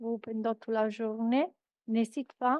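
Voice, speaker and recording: High-pitched speech from a woman, set against a quiet background. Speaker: European research project coordinator. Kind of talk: conference presentation. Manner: halting.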